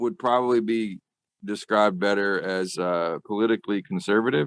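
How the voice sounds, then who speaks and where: In a Southern accent, a man speaks at a moderate pace, the sound dry and close with no echo. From US South, rural Arkansas. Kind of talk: interview.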